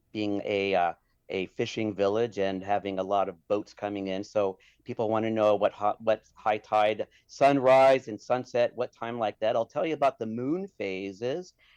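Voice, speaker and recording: An unremarkable speaking voice from a man, fairly low in pitch, with ordinary pitch variation, a moderate pace, and a dry, close sound with no echo. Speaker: town crier. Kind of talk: radio interview answer. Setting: radio studio interview.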